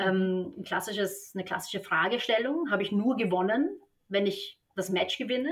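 At a fairly slow pace, a woman talks in an unremarkable speaking voice. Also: medium pitch for a woman, ordinary pitch variation. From Austria, Vienna. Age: 30s. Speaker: tennis coach. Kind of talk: podcast interview.

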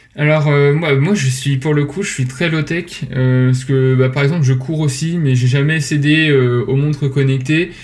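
The speaker goes at a fairly slow pace with hardly any pauses and fairly even intonation, with audible room echo. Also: man, fairly high pitch for a man. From Normandy, France (Rouen). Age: 20s. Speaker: business school student and startup founder. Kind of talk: podcast interview. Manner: hesitant, frequent repetitions and fillers.

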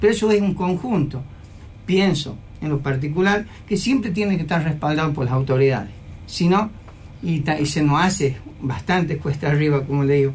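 A man talks at a fairly quick pace and fairly high pitch with lively intonation, long, frequent pauses and audible room echo. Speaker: university security chief. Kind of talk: radio interview. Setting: radio studio.

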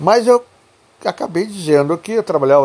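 A man is speaking. His voice is somewhat breathy. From southern Brazil, Pelotas area. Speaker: podcaster telling life stories. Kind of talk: personal storytelling monologue. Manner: halting, many repetitions.

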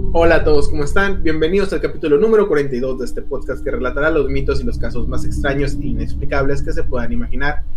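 A man with a Mexican accent talks very fast with hardly any pauses, amid noticeable background noise and audible room echo. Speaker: podcast host. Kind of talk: casual chat.

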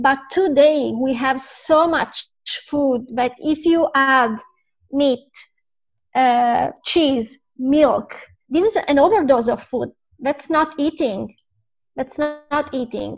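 Speaking with an Italian accent at a very slow pace, a woman uses a high pitch with ordinary pitch variation and long, frequent pauses. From Italy. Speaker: vegan influencer and food writer. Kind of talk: interview. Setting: video call.

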